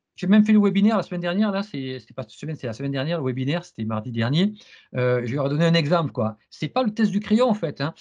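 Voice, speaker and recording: A man's high, very fast voice with very wide pitch swings, big swings in loudness and a quiet background. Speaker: CISSP trainer and interviewer. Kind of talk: interview. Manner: stammering repetitions.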